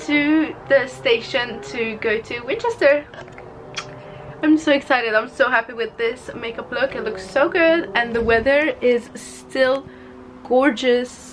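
Over music in the background, a woman speaks at a fairly slow pace in a high voice with ordinary pitch variation. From Hungary. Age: young. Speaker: beauty and fashion vlogger. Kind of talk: casual talk to camera. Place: home room. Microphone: phone near.

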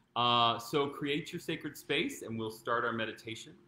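The room echo is audible around this man's voice. His tone is bright and sharp, with ordinary pitch variation. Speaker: meditation teacher. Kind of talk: guided meditation. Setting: live video stream. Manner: calm, slow, soothing. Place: home room. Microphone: camera far.

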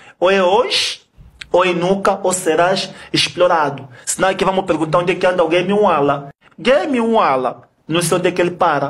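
At a moderate pace, a man speaks in a high voice with ordinary pitch variation and very even loudness. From Angola. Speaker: kuduro musician; podcast guest. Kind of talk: heated debate. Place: studio. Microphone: studio mic.

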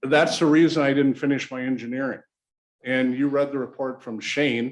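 A man speaks at medium pitch and a moderate pace. His intonation is monotone and flat. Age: 60s. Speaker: local business owner, applicant at public meeting. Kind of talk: public meeting testimony. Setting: city planning commission meeting room.

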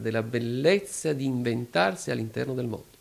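A man's voice with vocal fry. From Apulia, Foggia; Apulia. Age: 30s. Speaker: philosopher; interview guest. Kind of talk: interview. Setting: club venue. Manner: formal. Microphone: handheld.

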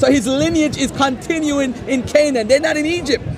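A man with an American accent and extremely high pitch, at a fairly quick pace with ordinary pitch variation, in a dry sound with no echo and crowd noise in the background. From US, New York. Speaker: author; author debating religion. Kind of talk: street debate. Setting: outdoors. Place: garden. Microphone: phone near.

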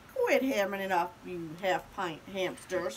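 A woman growls in a put-on character voice at a medium pitch and moderate pace. Background noise is clearly audible. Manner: snarling, bossy.

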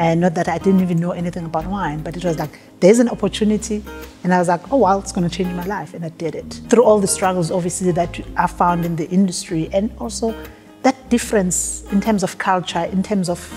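Faint music plays behind a woman speaking at a very fast pace. Her fairly low pitch shows ordinary variation. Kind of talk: interview answer. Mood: warm, reflective. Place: hall.

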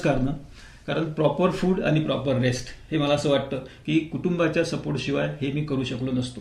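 Audible room echo surrounds a man speaking with vocal fry and ordinary pitch variation. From Vidarbha, Maharashtra (Amravati district). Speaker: retired tax official and marathon runner. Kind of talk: radio interview. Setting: radio studio.

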